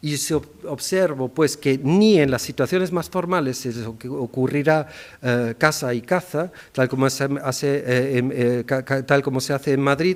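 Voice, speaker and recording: Fairly high in pitch, a man's voice moves at a moderate pace with ordinary pitch variation. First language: German (speaking Spanish). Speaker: linguist. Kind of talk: formal academic speech. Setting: ceremony hall with audience. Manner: formal; some hesitations and self-corrections.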